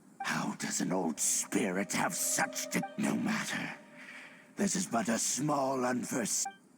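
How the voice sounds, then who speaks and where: Over clear music in the background, a raspy, put-on character voice speaks at a fairly slow pace. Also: man, medium pitch for a man. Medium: video game. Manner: grave, formal.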